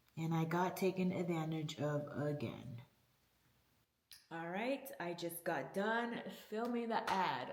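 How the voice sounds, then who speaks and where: A woman's fairly low voice with lively intonation, at a very slow pace with long, frequent pauses, in audible room echo. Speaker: vlogger. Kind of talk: personal vlog.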